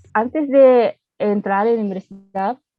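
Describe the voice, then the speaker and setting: A woman speaks with a Japanese accent over music playing in the background. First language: Japanese (speaking Spanish). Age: 20s. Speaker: university student. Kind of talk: interview. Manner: halting, with hesitations.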